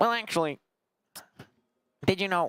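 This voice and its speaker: This is a put-on character voice with a nasal quality. The pitch sits in the middle range. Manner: mocking, know-it-all.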